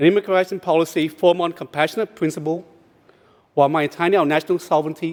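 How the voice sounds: At a fast pace, a man with a fairly high pitch speaks in a slightly mellow tone. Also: fairly even intonation.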